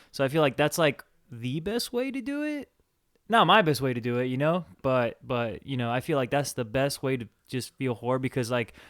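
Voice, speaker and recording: In a very clean recording with a silent background, a man speaks at a moderate pace in a medium pitch. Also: ordinary pitch variation. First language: Spanish. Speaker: podcast co-host. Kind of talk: casual chat. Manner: halting, repetitive.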